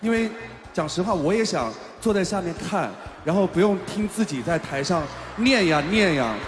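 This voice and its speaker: A man at a moderate pace, with noticeable background noise behind him. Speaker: event host. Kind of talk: stage hosting. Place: hall. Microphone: handheld.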